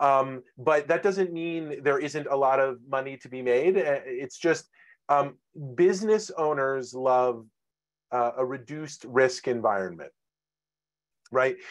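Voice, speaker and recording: At a fairly slow pace with long, frequent pauses, a man speaks with a fairly high pitch and ordinary pitch variation. His loudness swings widely, and the background is quiet. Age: 40s. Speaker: webinar host, former journalist. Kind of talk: webinar moderation. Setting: video call. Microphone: webcam.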